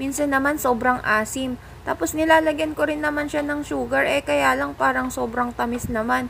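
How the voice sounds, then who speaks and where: A woman talks at a moderate pace with hardly any pauses. Noticeable background noise sits under her voice. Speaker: cooking vlogger. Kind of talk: voice-over cooking narration. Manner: casual, joking; varying loudness, sometimes soft.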